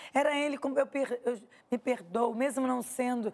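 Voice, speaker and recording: Here a woman is speaking. Her pitch is high. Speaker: author sharing personal faith testimony. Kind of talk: testimony in interview. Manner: very expressive, emotional; holding back to speak quietly.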